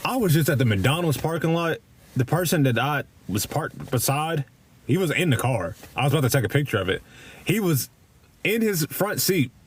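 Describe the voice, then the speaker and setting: The speaker has a strong Kentucky accent, vocal fry and lively intonation. Loudness stays very even, broken by long, frequent pauses. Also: man, fairly high pitch for a man. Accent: thick Kentucky. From Kentucky, Louisville. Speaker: live streamer. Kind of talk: casual chat. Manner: halting, many repeats and fillers; casual, profane.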